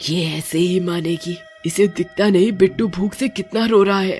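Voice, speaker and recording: Faint music plays behind a put-on character voice delivered at a moderate pace and a middle pitch. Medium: read story.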